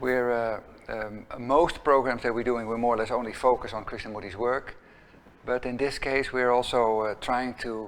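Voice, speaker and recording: A man talks with a Dutch accent. His pace is fairly slow. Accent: Dutch, noticeable. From Netherlands. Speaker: executive director of an educational center. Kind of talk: opening talk to a small gathering. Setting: room with small live audience. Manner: halting, many fillers and restarts.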